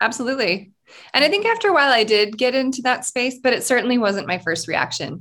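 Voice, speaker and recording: A woman's very fast, high-pitched voice with a bright, sharp tone and lively intonation. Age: 40s. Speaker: podcast host, business coach. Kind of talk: interview.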